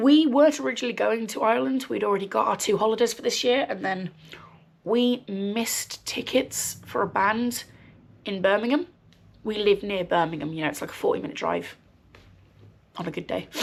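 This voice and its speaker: A woman talks with vocal fry and lively intonation. She leaves long, frequent pauses. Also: fairly high pitch for a woman, fairly quick pace. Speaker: crafting podcaster. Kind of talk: casual chat. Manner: rambling, many ums.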